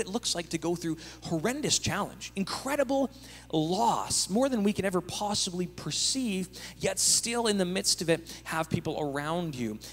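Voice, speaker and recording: Light background noise sits behind a man with a high pitch. He speaks at a moderate pace with lively intonation. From Canada. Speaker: pastor. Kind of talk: panel discussion in church service. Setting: church with live audience and video stream. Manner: joking, animated. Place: church. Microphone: handheld.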